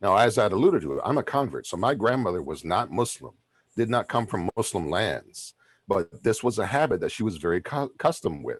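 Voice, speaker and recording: Vocal fry runs through this man's medium-pitched voice as he talks at a fairly quick pace with very wide pitch swings. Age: 50s. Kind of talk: panel discussion. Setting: video call.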